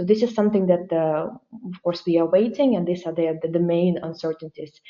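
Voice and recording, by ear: The voice has a dark, mellow tone and a Ukrainian accent. It moves at a fairly quick pace with fairly even intonation. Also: woman.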